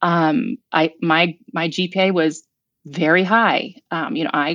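In a quiet setting, a woman with a fairly low pitch speaks in an unremarkable speaking voice with ordinary pitch variation. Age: 50s. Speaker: author and mother. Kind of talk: casual chat.

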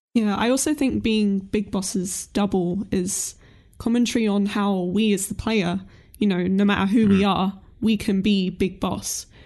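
A woman's medium-pitched, dark, mellow, somewhat breathy voice at a moderate pace with fairly even intonation, over a quiet background. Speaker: video game YouTuber. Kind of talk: casual podcast discussion.

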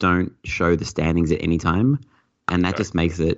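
A man with an Australian accent speaks at a fairly quick pace. His pitch is very deep and low. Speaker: podcast guest and pinball fan. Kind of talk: casual chat.

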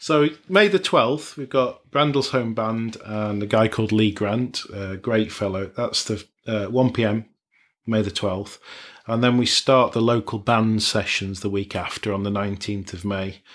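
In a plain, everyday voice, a man speaks fairly slowly at a fairly low pitch with ordinary pitch variation, over a silent background in a very clean recording. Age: 40s. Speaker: men's community group founder. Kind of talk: interview.

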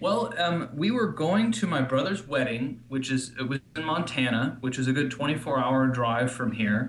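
A man with an American accent talks at a fairly slow pace and a medium pitch. His pitch varies in an ordinary way, with noticeable background noise behind him. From Missouri, US. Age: 30s. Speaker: listener couple guest. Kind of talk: interview.

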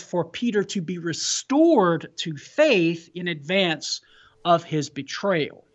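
A woman has an ordinary speaking voice at medium pitch. Her intonation is lively. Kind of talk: radio interview, apologetics talk.

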